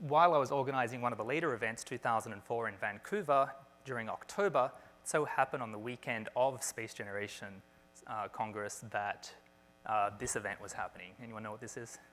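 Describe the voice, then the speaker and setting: A man with a medium-pitched voice talks at a fairly quick pace, with ordinary pitch variation and big swings in loudness. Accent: Australian. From Australia. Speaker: space entrepreneur and commercial astronaut. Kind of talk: conference talk. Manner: casual, with fillers and restarts.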